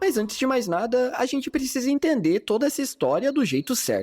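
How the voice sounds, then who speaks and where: At a moderate tempo, someone speaks with music in the background. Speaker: animation review youtuber. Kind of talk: video essay narration. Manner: casual, slangy.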